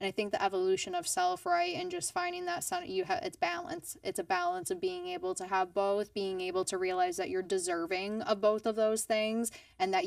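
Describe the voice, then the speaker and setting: A woman at a medium pitch with ordinary pitch variation, a moderate pace and hardly any pauses. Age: 30s. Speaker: podcast host. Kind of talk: interview conversation. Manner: animated.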